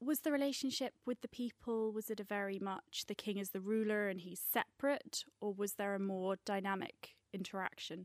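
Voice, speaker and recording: A woman's plain, everyday voice at medium pitch and a moderate pace, with hardly any pauses, ordinary pitch variation and a dry, close sound with no echo. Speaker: podcast host. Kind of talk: presenting and interview.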